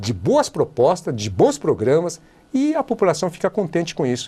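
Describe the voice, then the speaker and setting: A man with a high pitch speaks at a moderate pace. His pitch swings very widely. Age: 70s. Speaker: politician. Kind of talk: TV interview. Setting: TV studio.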